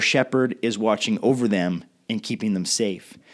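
The speaker has a Western Canadian accent and talks at a moderate pace. The recording is very clean, with a silent background. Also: man. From Canada, Victoria BC. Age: 30s. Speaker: pastor. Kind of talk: recorded leadership talk. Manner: casual.

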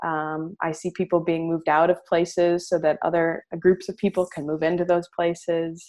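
The speech moves at a moderate pace with hardly any pauses and a monotone, flat intonation. The sound is dry and close with no echo, over a quiet background. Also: woman. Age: 30s. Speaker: spiritual director in training. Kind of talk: interview. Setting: video call. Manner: halting.

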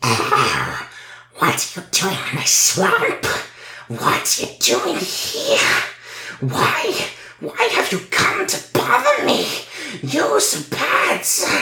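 Very slow delivery in a man's put-on character voice. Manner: gruff, hostile, annoyed.

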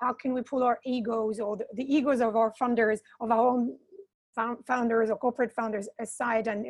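The speaker keeps a moderate pace with fairly even intonation. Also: woman. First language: non-English. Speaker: community founder for social entrepreneurs. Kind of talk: panel discussion. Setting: online webinar. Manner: halting.

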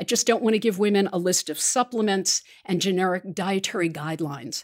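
A woman's medium-pitched, an ordinary speaking voice at a moderate pace, with ordinary pitch variation, in a very clean recording against a silent background. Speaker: podcast host. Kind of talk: interview, scripted intro then casual chat.

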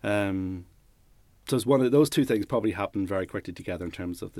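The recording is very clean with a silent background. A man with a Northern Irish accent and fairly low pitch speaks at a fairly quick pace. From Northern Ireland, Newry. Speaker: lighting and set designer. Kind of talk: interview. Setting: studio. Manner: halting.

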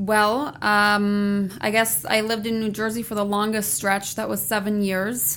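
A woman with an American accent speaks in a normal speaking voice at medium pitch. Her pace is fairly slow and her intonation fairly even. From Germany (Halle, former East), also US childhood. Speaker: veterinarian. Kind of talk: interview.

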